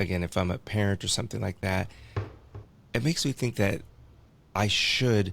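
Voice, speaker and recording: This man has a fairly low pitch and vocal fry, speaking at a moderate pace in a very clean recording with a silent background. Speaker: podcast host. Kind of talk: interview question.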